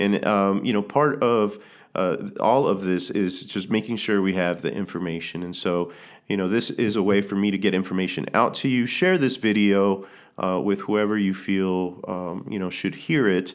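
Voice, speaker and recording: In a room with audible echo, a man speaks at a moderate pace in a fairly low pitch with ordinary pitch variation. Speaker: pastor. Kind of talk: video address to congregation. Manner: hesitant, many fillers.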